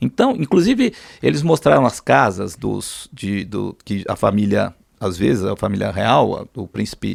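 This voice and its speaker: Moderately paced speech from a man, dry and close-sounding without echo. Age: 60s. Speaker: pilot and businessman. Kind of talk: interview storytelling. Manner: halting, many repetitions.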